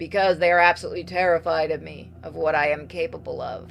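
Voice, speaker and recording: A put-on character voice, growling and raspy at a middle pitch, very fast over clear background music. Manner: sour, growling.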